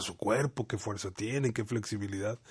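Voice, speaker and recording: A man is heard with a somewhat breathy voice. Behind him the background stays quiet. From Mexico, Monterrey and Veracruz. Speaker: university academic director. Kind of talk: casual interview. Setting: radio studio. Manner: halting, repeats words.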